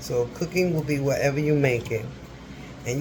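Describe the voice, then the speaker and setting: A man whispering at a moderate pace. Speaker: cooking vlogger. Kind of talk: casual cooking tutorial. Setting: home kitchen. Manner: whispering a little; chatty.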